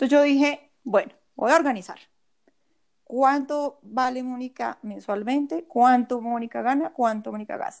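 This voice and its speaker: A woman's high-pitched voice at a fairly slow pace, with ordinary pitch variation, in a very clean recording with a silent background. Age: 40s. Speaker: personal finance coach and former investment advisor. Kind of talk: interview conversation.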